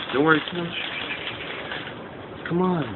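A man talks over loud background noise. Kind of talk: casual talk to camera. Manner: playful, affectionate, coaxing. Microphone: phone near.

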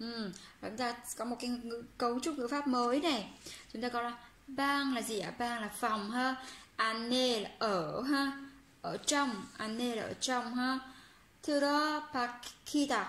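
With long, frequent pauses, a high-pitched woman speaks at a very slow pace amid audible room echo. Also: ordinary pitch variation. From Vietnam. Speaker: Korean language teacher on a video channel; Korean language teacher. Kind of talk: language lesson tutorial. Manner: hesitant, many fillers. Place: home room. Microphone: phone near.

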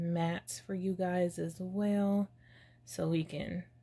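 At a very slow pace, a woman speaks with fairly even intonation and a fairly low pitch. Her tone is dark, mellow and somewhat breathy. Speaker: beauty youtuber. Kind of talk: casual chat. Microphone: phone near.

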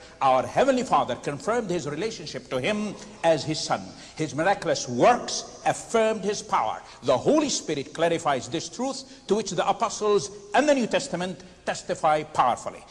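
A man's high voice with very wide pitch swings, a fairly quick pace and noticeable background noise. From Palestine (Nazareth). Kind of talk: formal debate presentation.

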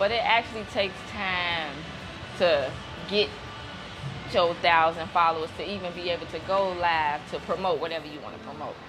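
A woman speaks at a moderate pace. Clear music plays in the background. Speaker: interview guest. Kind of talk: interview answer. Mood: relaxed, laughing. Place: gym. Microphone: lapel.

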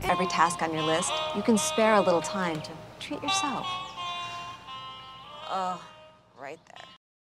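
Loud music plays behind a woman whose pitch swings very widely and whose loudness shifts a lot, with long, frequent pauses and a dry sound with no echo. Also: medium pitch for a woman, moderate pace. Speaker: actress. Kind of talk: TV commercial read. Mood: relaxed, pleased. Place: garden.

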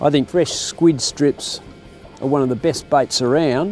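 Faint music sits in the background of a dry sound with no echo. The pace is fairly slow, with ordinary pitch variation. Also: man. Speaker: fishing show host. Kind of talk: tutorial. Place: boat.

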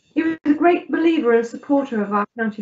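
This is a woman speaking. Her pitch variation is ordinary. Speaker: councillor giving tribute. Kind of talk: formal spoken tribute. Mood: respectful, somber tribute. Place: home room. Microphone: video call.

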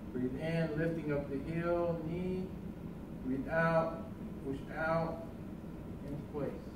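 The speech comes at a very slow pace with long, frequent pauses, with audible room echo and noticeable background noise. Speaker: tai chi instructor. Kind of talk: tutorial. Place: hall. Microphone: camera far.

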